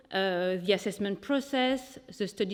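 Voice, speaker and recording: A woman with a French accent talks at a medium pitch with ordinary pitch variation. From France. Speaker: sustainability lead at a company. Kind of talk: presentation. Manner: hesitant with fillers.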